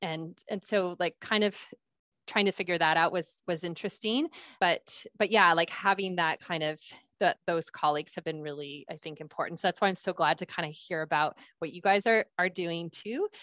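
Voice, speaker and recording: Recorded with a dry, close sound and no echo, a woman with a normal speaking voice and fairly low pitch speaks at a moderate pace. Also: fairly even intonation. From US Pacific Northwest, Seattle. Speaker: pediatrician. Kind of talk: interview. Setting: video call.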